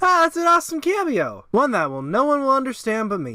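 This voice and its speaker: A man speaks in a raised, projected voice at a very fast pace. His pitch swings very widely. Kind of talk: casual episode review narration.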